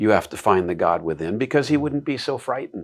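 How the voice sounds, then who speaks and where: Recorded very cleanly against a silent background, a man with an American accent uses a plain, everyday voice at a medium pitch with lively intonation. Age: 60s. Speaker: classical education advocate. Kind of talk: interview conversation.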